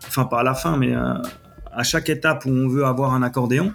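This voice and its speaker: Music plays in the background as a man talks. He keeps a fairly quick pace with ordinary pitch variation. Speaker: podcast host and web developer. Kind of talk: solo tech podcast tutorial. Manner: casual, with frequent hesitations.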